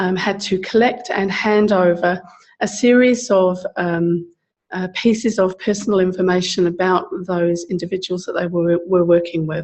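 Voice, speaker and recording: A woman speaks at a moderate pace in a medium pitch, her intonation fairly even. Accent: South London. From England, South London. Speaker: social services advocate. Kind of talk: seminar talk. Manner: halting, many fillers.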